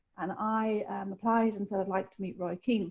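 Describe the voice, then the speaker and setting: Speaking at a fairly quick pace in an Irish accent, a woman keeps a monotone, flat intonation at medium pitch with a dark, mellow tone. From Republic of Ireland. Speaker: sports director, former boxer. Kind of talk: interview.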